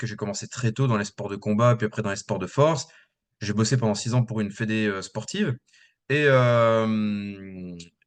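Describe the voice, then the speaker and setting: A man at a moderate pace, medium in pitch, with ordinary pitch variation. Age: 30s. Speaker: fitness coach and trainer, former gendarme. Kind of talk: podcast interview. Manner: hesitant, many fillers.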